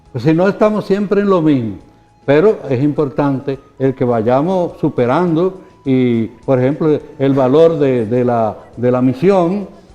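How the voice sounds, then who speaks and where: Noticeable background noise sits behind a man who talks at a fairly slow pace with a fairly high pitch and lively intonation. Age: 80s+. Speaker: bishop. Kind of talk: interview answers. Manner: halting.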